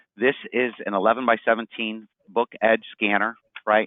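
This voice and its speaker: A man is speaking. His voice has a medium pitch. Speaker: sales demonstrator. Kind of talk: product demo. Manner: fast.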